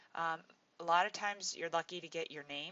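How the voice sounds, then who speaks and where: A woman uses a plain, everyday voice at a fairly low pitch, with ordinary pitch variation and a moderate pace. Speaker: teacher. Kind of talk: tutorial.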